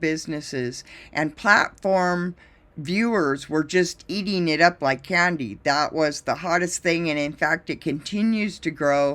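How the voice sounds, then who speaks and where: A woman's fairly low-pitched voice, a normal speaking voice, at a fairly slow pace with ordinary pitch variation, on a very clean recording with a silent background. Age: 60s. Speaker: drone pilot and video business owner. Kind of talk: presentation.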